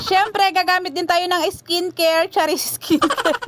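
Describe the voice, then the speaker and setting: A woman talks while noticeable background noise runs beneath her. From Quezon, Philippines. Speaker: vlogger. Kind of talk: casual vlog narration. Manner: fast; chatty.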